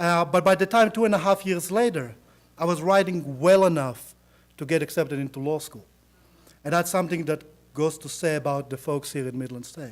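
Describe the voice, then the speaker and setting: Speaking at a moderate pace, a man uses a fairly high voice with ordinary pitch variation. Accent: Israeli. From Israel. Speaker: attorney, college alumnus. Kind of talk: speech to audience.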